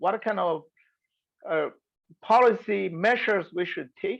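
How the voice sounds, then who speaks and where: Her pitch is medium for a woman. She talks at a fairly unhurried pace. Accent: Chinese. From China. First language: Mandarin Chinese. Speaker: environmental researcher. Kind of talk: webinar lecture. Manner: halting, many hesitations.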